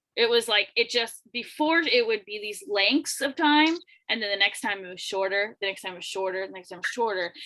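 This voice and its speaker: A bright, sharp tone at a fairly quick pace, with lively intonation and big swings in loudness. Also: woman, fairly high pitch for a woman. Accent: Florida. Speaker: podcast host. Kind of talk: casual interview.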